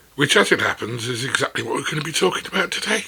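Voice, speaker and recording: A man's voice comes with noticeable background noise behind it. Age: 60s. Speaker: former CEO, writer. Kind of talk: casual talk to camera. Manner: witty, conversational.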